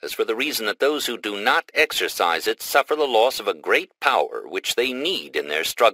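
The voice reads in an unforced way.

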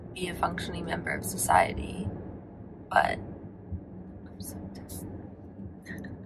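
A woman whispering at a moderate pace. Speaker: lifestyle vlogger; vlogger. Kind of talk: casual vlog talk to camera. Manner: chatty, filler-heavy. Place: car. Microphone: phone near.

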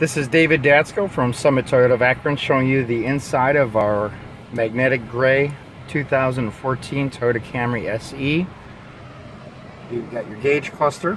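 The man speaks at a fairly slow pace with ordinary pitch variation, in a dry sound with no echo and light background noise. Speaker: car salesman. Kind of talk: product walkthrough. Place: car. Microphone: phone near.

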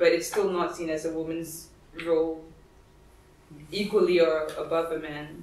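In a room with audible echo, a woman with a fairly low pitch talks fairly slowly in a flat monotone, leaving long, frequent pauses. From Singapore. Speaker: feminist writer and activist, lecturer; lecturer. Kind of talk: lecture. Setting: library event with audience. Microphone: camera far.

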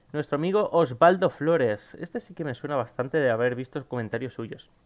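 A man speaks at a fairly quick pace with lively intonation and a fairly high pitch, against a quiet background. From Spain. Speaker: gaming YouTuber. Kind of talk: casual Q&A to camera. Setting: home recording at PC. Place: home room.

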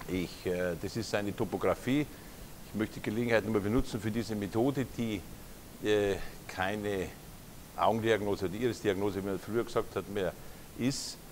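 A man with a Munich accent speaks at fairly low pitch and a moderate pace, his intonation fairly even. He leaves long, frequent pauses over light background noise. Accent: Bavarian (Munich). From Lower Bavaria, Germany. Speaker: naturopath. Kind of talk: conference lecture. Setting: lecture hall with audience. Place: hall. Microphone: lapel.

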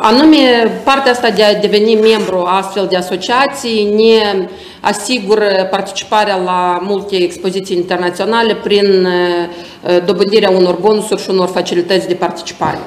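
A woman talks at a moderate pace with fairly even intonation, and audible room echo surrounds her voice. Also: medium pitch for a woman. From Moldova. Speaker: exhibition centre director. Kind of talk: presentation. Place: office.

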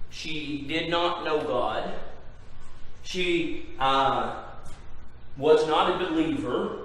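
Speaking at a very slow pace with long, frequent pauses, a man with a high-pitched voice is heard amid strong room echo. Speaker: pastor. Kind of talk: sermon. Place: church. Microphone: camera far.

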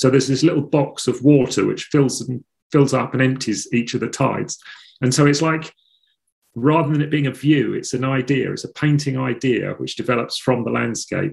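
Against a quiet background, the speaker shows vocal fry and fairly even intonation in an Essex accent. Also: man, moderate pace. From England, north Essex coast. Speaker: painter; interviewee. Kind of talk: interview; interview answer. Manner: halting. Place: home room. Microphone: video call.

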